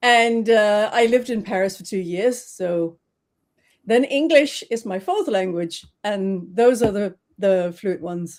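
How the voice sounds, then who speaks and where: On a very clean recording with a silent background, a woman with a Danish accent speaks fairly slowly at a medium pitch with ordinary pitch variation. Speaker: trademark specialist. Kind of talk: interview.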